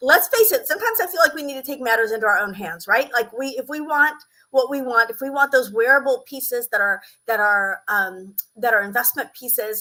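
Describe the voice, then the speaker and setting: Bright and sharp in tone, a woman speaks at a high pitch and a fairly quick pace. Her intonation is lively. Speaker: style coach. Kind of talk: live stream. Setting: live stream on social media. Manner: animated.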